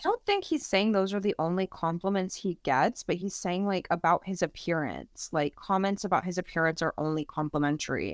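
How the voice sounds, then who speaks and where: A woman with a plain, everyday voice talks at a fairly quick pace and a medium pitch, with ordinary pitch variation and hardly any pauses, in a very clean recording with a silent background and a dry, close sound with no echo. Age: 30s. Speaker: psychology PhD student. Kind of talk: casual chat.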